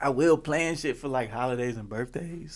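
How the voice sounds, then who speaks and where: Mumbling at a moderate pace with ordinary pitch variation, a man is heard on a very clean recording with a silent background. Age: 20s. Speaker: podcast host. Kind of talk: casual chat. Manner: soft-spoken.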